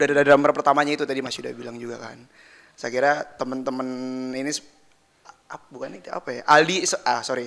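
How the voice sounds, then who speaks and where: This man talks at a very fast pace. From Jakarta, Indonesia. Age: 20s. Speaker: band drummer. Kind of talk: casual interview chat.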